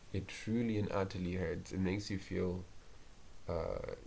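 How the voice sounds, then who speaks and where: Quiet and somewhat breathy, a man speaks at a fairly slow pace with a fairly low pitch and a monotone, flat intonation. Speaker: university student. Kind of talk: casual solo podcast talk. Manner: monotone, quiet; hesitant, with filler words.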